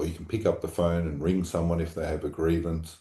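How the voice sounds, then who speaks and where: In an Australian accent, a man speaks with a very deep, low pitch. His tone is dark and mellow, and somewhat breathy. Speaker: obstetrician and medical college leader. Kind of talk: podcast interview.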